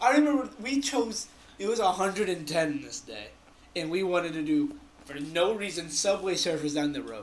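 Amid noticeable background noise, a man with a high pitch talks at a moderate pace, his pitch swinging very widely and his loudness in big swings. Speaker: podcast co-host. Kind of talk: casual chat.

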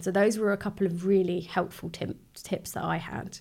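Over a very clean recording with a silent background, a woman of medium pitch speaks with vocal fry and fairly even intonation. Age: 30s. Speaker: beauty therapist sharing mental health experience. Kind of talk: casual chat.

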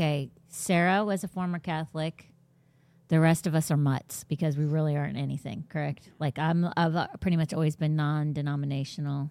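A woman speaks with an American accent. Her voice is very deep and low, with a dark, mellow tone. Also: very clean recording, silent background. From Florida and Washington DC. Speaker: podcast host at a church, Bible teacher. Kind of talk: casual Bible Q&A chat. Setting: studio with live stream. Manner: animated.

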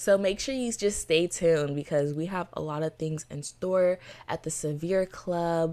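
In an American accent, a woman with a fairly low pitch and ordinary pitch variation speaks at a moderate pace on a very clean recording with a silent background. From Florida, Haitian family. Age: 20s. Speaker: podcast host, college student. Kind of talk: solo podcast monologue. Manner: enthusiastic, animated.

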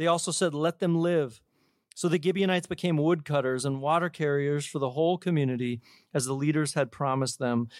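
Here a man has an unremarkable speaking voice, pitched fairly high and moving at a fairly quick pace. The recording is very clean with a silent background. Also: ordinary pitch variation. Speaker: church pastor. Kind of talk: church welcome and scripture reading. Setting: church.

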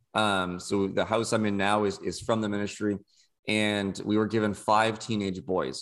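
Speaking at a moderate pace in an ordinary speaking voice, a man with a fairly low pitch is heard on a very clean recording with a silent background. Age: 20s. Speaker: former podcast co-host, youth ministry house parent. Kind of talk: casual chat.

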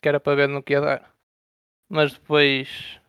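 A man's voice, dry and close, with no echo. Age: 20s. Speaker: online strategy game player. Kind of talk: casual interview. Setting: Discord voice call.

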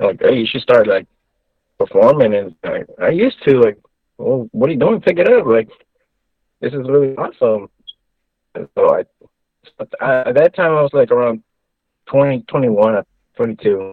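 Speaking in a Texan accent, a man keeps a moderate pace broken by long, frequent pauses. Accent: Texan American. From Texas. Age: 30s. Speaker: Elvis tribute artist. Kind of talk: interview. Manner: halting.

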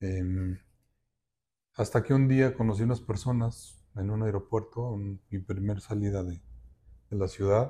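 Delivered at a fairly slow pace with fairly even intonation, this somewhat breathy voice has a dark, mellow tone on a very clean recording with a silent background. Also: man. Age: 60s. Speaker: architect and road safety activist. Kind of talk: interview testimony.

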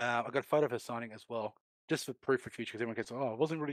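Very fast speech from a man with an Australian accent, medium pitch and ordinary pitch variation, in a dry, close sound with no echo on a very clean recording with a silent background. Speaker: gaming industry figure. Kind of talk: casual chat.

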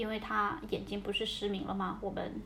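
The woman in this clip speaks at a fairly quick pace. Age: 20s. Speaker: podcast host and social worker. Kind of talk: casual chat. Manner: hesitant, with fillers.

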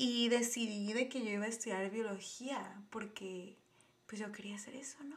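A woman speaks at a moderate pace. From Tijuana, Baja California, Mexico. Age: 20s. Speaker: podcast host, biology researcher. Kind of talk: casual monologue. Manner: animated.

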